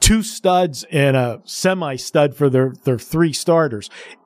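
A man with an American accent, a normal speaking voice, fairly high pitch, and ordinary pitch variation speaks at a fairly slow pace on a very clean recording with a silent background. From Pittsburgh, US. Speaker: guest radio host. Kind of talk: sports talk radio.

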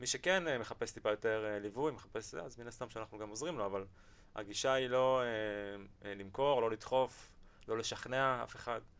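A plain, everyday voice. A man talks at a moderate pace and medium pitch with ordinary pitch variation. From Israel, Beersheba. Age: 20s. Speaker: financial advisor, company CEO. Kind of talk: podcast interview.

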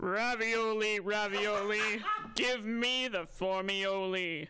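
Over clear background noise, a man uses a put-on character voice, speaking very slowly at a high pitch. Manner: playful, sneaky.

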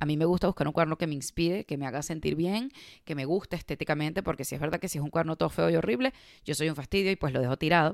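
Here a woman with a very deep, low pitch talks at a very fast pace with ordinary pitch variation. The sound is dry and close with no echo, on a very clean recording with a silent background. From Venezuela. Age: 30s. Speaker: podcast host. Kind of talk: casual monologue.

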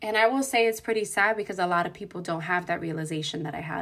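A woman's medium-pitched voice, bright and sharp in tone, moves at a very fast pace with ordinary pitch variation. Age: 20s. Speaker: podcast host. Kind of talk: casual chat.

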